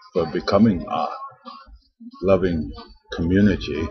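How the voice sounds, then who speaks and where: A man talks at a fairly slow pace. Behind him, music is playing. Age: 60s. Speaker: homeless vlogger. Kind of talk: personal video diary. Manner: halting.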